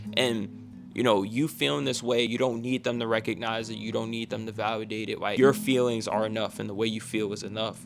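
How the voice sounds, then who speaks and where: A man with fairly even intonation, music in the background. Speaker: self-improvement coach and video creator. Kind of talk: motivational talk to camera. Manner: casual, many fillers and restarts.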